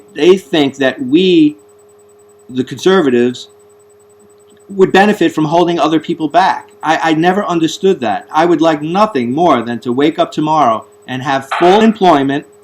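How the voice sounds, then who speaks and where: At a moderate pace, a man with a Bronx accent speaks at a fairly high pitch. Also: ordinary pitch variation. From US Northeast, the Bronx, New York. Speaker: talk show host. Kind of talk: interview. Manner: halting, repeats words.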